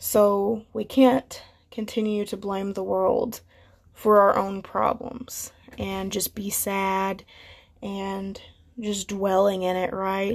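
A woman speaks very slowly at a medium pitch, her intonation flat and monotone. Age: young. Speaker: podcast host. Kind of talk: solo motivational talk. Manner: casual, hesitant with fillers.

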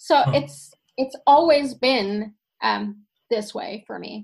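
A woman with a Finnish accent and ordinary pitch variation, against a quiet background. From Sweden. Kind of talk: casual interview chat. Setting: video call.

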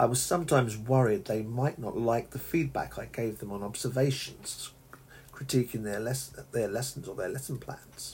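A man's medium-pitched voice with a southern English accent. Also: ordinary pitch variation, moderate pace. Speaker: English teacher. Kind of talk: solo podcast monologue. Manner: halting.

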